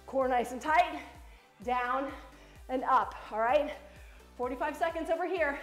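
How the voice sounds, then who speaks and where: A woman's high voice with ordinary pitch variation at a fairly slow pace, with audible room echo and faint music in the background. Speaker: fitness instructor. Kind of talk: workout coaching cues. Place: gym. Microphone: camera far.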